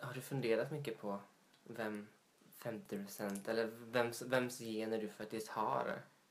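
The speaker moves at a very slow pace with long, frequent pauses and fairly even intonation, with audible room echo. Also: man, medium pitch for a man. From Småland, Sweden (Vetlanda). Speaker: podcast co-host. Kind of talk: casual chat.

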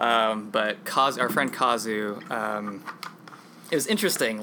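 Noticeable background noise under a man's voice of medium pitch, with ordinary pitch variation. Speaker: podcast host. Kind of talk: casual chat.

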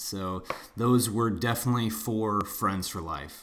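In a plain, everyday voice, a man with an American accent talks at a moderate pace, his fairly low pitch showing ordinary pitch variation. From US Midwest. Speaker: travel podcast host. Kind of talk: casual round table chat; scripted podcast outro.

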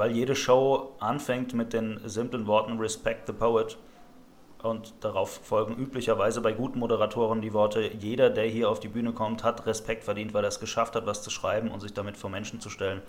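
The intonation is monotone and flat. The pace runs fairly quick. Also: man, medium pitch for a man. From Rhineland-Palatinate, Germany. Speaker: slam poet. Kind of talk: casual chat.

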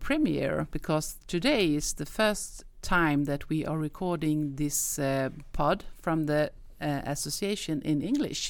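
A woman with a Swedish accent, very deep and low in pitch, with ordinary pitch variation at a fairly slow pace. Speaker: podcast host. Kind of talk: interview.

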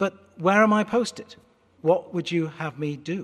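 A man with an American accent speaks fairly slowly. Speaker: pastor. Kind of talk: sermon. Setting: church. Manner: articulate, extroverted.

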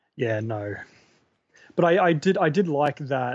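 A man speaks at a moderate pace with a medium-pitched voice. He has an Australian accent. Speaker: horror blogger. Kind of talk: casual chat. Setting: video call.

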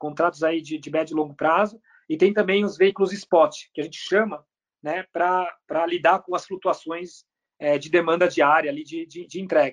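A man with a high voice talks at a moderate pace, his intonation fairly even but his loudness swinging widely. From Brazil. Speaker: company CEO. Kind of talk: interview.

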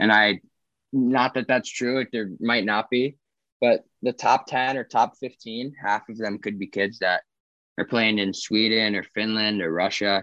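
In a quiet background with a dry, close sound and no echo, a man with an American accent speaks at a medium pitch and a fairly slow pace, his tone bright and sharp and his intonation fairly even. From US South, Charlotte, North Carolina. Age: 20s. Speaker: college hockey player. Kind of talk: interview.

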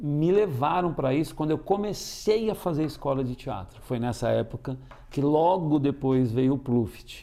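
Fairly high in pitch yet dark and mellow in tone, a man speaks at a fairly slow pace with lively intonation. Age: 50s. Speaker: actor and tarot reader. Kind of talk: interview.

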